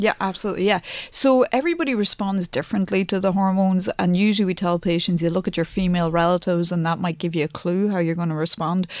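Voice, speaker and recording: Speaking very fast with fairly even intonation, a woman talks in an Irish accent. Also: medium pitch for a woman, hardly any pauses. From Ireland, County Louth. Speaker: plastic surgeon. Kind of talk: radio interview.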